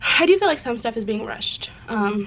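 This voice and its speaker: A woman speaks over noticeable background noise. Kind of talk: casual talk to camera.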